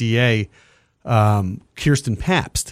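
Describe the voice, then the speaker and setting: This man has an unremarkable speaking voice at a medium pitch, with ordinary pitch variation and a dry, close sound with no echo. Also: very clean recording, silent background. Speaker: radio host. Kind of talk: interview. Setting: studio.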